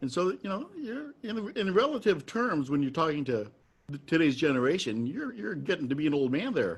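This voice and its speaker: Speaking at a moderate pace with an American accent, a man uses an ordinary speaking voice at a fairly high pitch with lively intonation. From US Midwest. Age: 60s. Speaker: trad jazz musician and interviewer. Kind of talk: casual interview.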